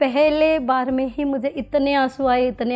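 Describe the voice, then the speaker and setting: A woman's high-pitched voice with fairly even intonation, music playing in the background. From Maharashtra. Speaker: teacher. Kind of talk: interview answer.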